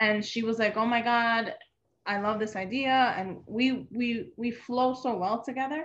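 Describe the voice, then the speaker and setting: Against a quiet background, a woman with a New York accent speaks at a fairly slow pace, her fairly high pitch showing ordinary variation. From New York, Dominican family. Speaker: event planner and business owner. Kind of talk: casual interview.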